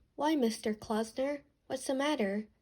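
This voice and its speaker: At a high pitch, a woman performs a put-on character voice. She keeps a moderate pace. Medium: audio drama.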